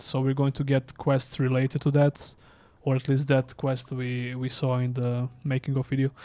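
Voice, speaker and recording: A man talks at a moderate pace and medium pitch, his intonation monotone and flat. His tone is dark and mellow. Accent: Serbian. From Serbia. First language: Serbian. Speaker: gaming streamer. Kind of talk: live gameplay commentary. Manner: casual, halting.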